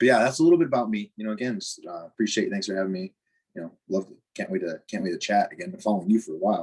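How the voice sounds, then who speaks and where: Very fast, a man at a medium pitch speaks with very wide pitch swings and big swings in loudness. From US Midwest, Chicago northwest suburbs. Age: 30s. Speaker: weightlifting coach. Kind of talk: interview.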